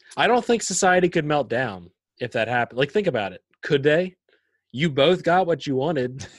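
Against a quiet background, a man talks at a moderate pace. His fairly high pitch swings very widely. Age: 20s. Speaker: podcast co-host, business owner. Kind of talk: casual chat.

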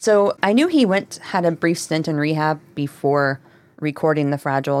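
Her intonation is fairly even. The woman's pitch is very deep and low. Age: 30s. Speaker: podcast co-host. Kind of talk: casual chat.

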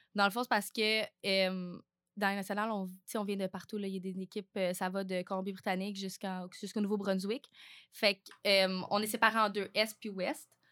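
Recorded very cleanly against a silent background, a woman speaks at a medium pitch and moderate pace in a bright, sharp tone with monotone, flat intonation. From Quebec, Vaudreuil-Soulanges (Montérégie). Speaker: university athlete. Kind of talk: interview.

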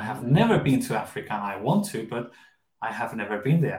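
Lively in intonation, a man speaks with a Spanish accent. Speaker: English teaching podcast host. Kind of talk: bilingual English lesson. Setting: live stream.

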